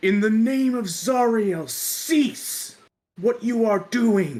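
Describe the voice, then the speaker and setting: In a put-on character voice, someone speaks at a fairly high pitch and a very slow pace. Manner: commanding shouting.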